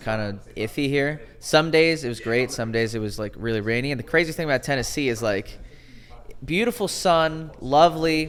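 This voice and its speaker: An animated voice in a Northeastern US accent, with lively intonation at a fairly quick pace. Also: man. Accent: American, Northeast. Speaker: podcast co-host. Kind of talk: casual chat. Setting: in-person studio.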